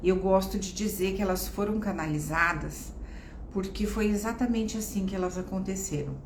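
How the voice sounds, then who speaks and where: A woman at a medium pitch and moderate pace, fairly even in intonation, amid noticeable background noise and audible room echo. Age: 60s. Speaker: psychologist and oracle card therapist. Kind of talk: live-stream spiritual talk. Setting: live stream.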